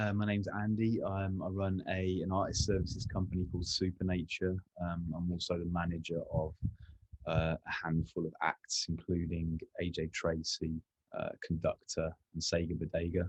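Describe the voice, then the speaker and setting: A somewhat breathy, monotone voice with flat intonation at a moderate pace, dry and close with no echo. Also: man, very deep, low pitch for a man. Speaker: artist manager. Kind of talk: panel discussion. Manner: halting.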